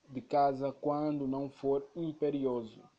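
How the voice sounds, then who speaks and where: In a dark, mellow tone, a man talks very slowly. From Angola. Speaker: podcast host. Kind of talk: scripted narration.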